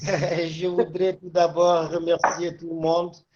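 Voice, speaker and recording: A man speaks with a Senegalese accent. His pitch is high. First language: Wolof (speaking French). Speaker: agronomist. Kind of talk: panel talk. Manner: halting.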